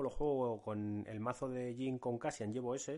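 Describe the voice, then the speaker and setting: A man speaks at a moderate pace in an ordinary speaking voice, medium in pitch, with fairly even intonation. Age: 40s. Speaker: podcast host. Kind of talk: casual chat.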